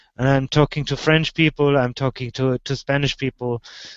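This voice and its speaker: A man talks with a German accent. His intonation is monotone and flat. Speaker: video show host. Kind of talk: casual chat. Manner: halting, repetitive.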